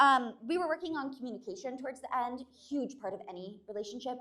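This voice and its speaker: A woman speaks at a very fast pace with lively intonation, a bright, sharp tone and a fairly high pitch. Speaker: stand-up comedian. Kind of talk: stand-up. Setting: stage with audience. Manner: animated.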